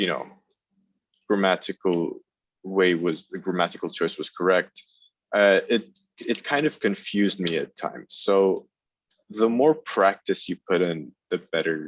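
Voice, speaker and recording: A man with a non-native accent talks at a fairly slow pace. His pitch is fairly low, with ordinary variation. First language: not English. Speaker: student panelist. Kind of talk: panel discussion.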